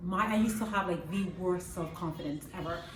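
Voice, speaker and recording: This woman's medium-pitched voice moves at a moderate pace with ordinary pitch variation, and noticeable background noise sits underneath. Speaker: empowerment coach. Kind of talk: casual talk to camera.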